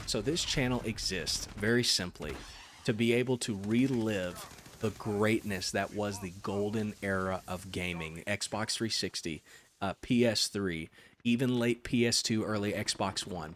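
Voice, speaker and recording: A soft-spoken man with a fairly low pitch talks at a fairly slow pace. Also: ordinary pitch variation. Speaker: gaming YouTuber. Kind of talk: casual gameplay commentary. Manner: hesitant fillers.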